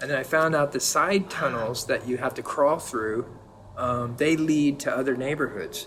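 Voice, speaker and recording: Speaking in an American accent, a man uses a fairly high pitch with ordinary variation. He keeps a moderate pace over noticeable background noise. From California, San Diego. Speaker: painter. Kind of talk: casual chat.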